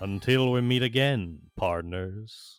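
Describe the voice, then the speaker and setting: A put-on character voice at a fairly slow pace. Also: man. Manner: farewell, parting.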